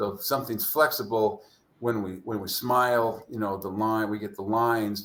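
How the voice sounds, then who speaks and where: A man with a plain, everyday voice speaks at medium pitch and a moderate pace, his intonation fairly even but with big swings in loudness. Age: 60s. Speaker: chiropractor and book author. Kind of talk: interview.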